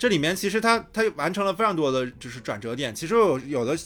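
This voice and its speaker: A man with an ordinary speaking voice talks at a fairly quick pace with lively intonation. The recording is very clean, with a silent background. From Shandong, China. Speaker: podcast host. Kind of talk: casual chat, podcast recorded live-streamed. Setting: live stream while recording.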